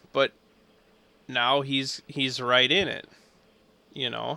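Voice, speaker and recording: A man's very slow speech with vocal fry and a bright, sharp tone, in a dry, close sound with no echo. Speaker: motocross podcast co-host. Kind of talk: casual chat.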